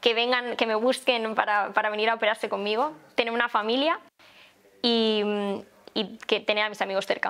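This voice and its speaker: With fairly even intonation, a woman talks at a moderate pace in a fairly high pitch. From Valencia, Spain; Spain. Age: 20s. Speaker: plastic surgeon, festival queen candidate; candidate. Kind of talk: candidate interview. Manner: hesitant, with fillers. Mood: cheerful, smiling. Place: home room.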